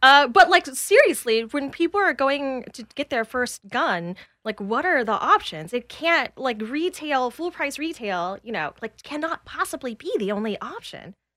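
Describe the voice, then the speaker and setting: A woman with an American accent projects a raised, high, bright and sharp voice with very wide pitch swings and big swings in loudness. She keeps a moderate pace with hardly any pauses, in a dry, close sound with no echo on a very clean recording with a silent background. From US South, Atlanta. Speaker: comedian and podcast host. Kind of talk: casual chat.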